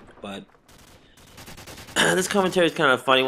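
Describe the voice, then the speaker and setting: Over noticeable background noise, a man delivers his words fairly quickly. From Boston. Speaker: gaming commentator.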